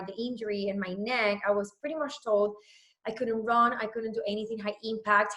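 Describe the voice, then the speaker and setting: A woman is speaking. She has a Spanish accent. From Puerto Rico. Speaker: fitness trainer. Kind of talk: casual talk to a group call. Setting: group call. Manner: rambling, many fillers.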